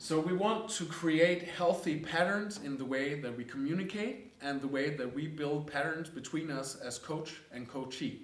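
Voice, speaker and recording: A fairly high-pitched man with a Danish accent and ordinary pitch variation, with noticeable background noise and audible room echo. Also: moderate pace. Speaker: coaching course teacher. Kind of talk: lecture.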